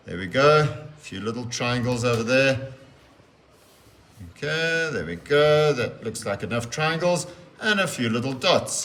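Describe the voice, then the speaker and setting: A man's medium-pitched, lively voice at a fairly slow pace with long, frequent pauses, amid audible room echo and noticeable background noise. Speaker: teacher. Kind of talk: tutorial.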